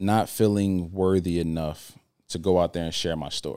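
In an American accent, the speaker goes at a fairly slow pace on a very clean recording with a silent background. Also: man. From New Jersey. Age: 30s. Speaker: motivational speaker and author. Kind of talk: casual interview.

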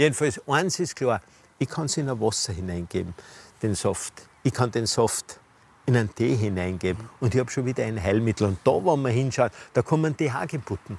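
This man's intonation is lively, and his pitch is medium. He talks at a moderate pace and sounds somewhat breathy. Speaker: physician and health show host. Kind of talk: casual conversational interview. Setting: outdoors in a rooftop garden.

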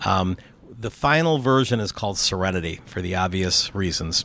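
A man talks at a fairly low pitch and a moderate pace, with ordinary pitch variation. Noticeable background noise runs underneath. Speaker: crypto investor and entrepreneur. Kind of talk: casual interview. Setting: outdoors on a rooftop terrace.

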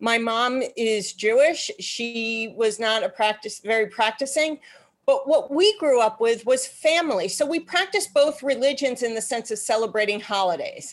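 Lively intonation colors a woman's ordinary speaking voice, pitched fairly high, as she talks at a moderate pace with hardly any pauses. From New York. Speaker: political strategist. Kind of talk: interview.

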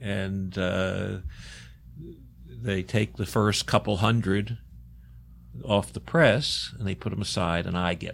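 A man with an American accent and a fairly low pitch speaks at a very slow pace with vocal fry, lively intonation, and long, frequent pauses. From US, Baltimore, Maryland. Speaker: artist. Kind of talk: interview.

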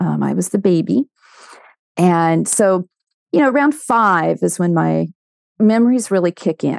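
A woman with an American accent speaks at a fairly slow pace, leaving long, frequent pauses. The sound is dry and close with no echo, over a quiet background. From Southern California, Orange County. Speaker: faith-based ministry consultant. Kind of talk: testimony.

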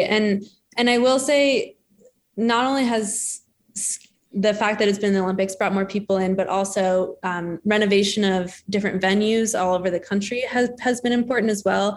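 Speaking with an American accent at a moderate pace, a woman uses a medium pitch and fairly even intonation in an ordinary speaking voice. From Denver, Colorado, US. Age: 20s. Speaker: ski jumper. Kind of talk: casual interview.

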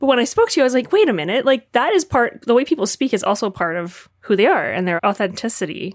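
A woman talks very fast in a high voice, with hardly any pauses. Her pitch swings very widely, and the recording is very clean with a silent background. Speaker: podcast host. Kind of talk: interview.

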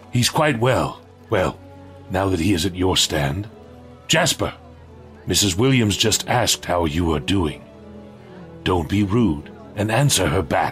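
A man speaks at a fairly slow pace with long, frequent pauses, his pitch very deep and low and his loudness very even. His intonation is lively, and clear music plays in the background. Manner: warm, gently stern.

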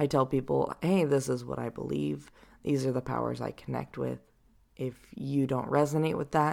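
The speech moves at a moderate pace in a very clean recording with a silent background. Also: woman. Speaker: podcast host and spiritual guide. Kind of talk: solo reflective talk.

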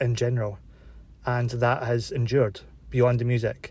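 Somewhat breathy, a man speaks at medium pitch. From Britain. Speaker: listener caller. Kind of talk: recorded voice message.

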